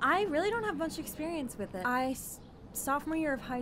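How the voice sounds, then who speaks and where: A woman with an American accent talks at a very fast pace with lively intonation, with noticeable background noise behind her. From Philadelphia area, Pennsylvania. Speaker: acting student. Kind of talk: casual interview. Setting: video call.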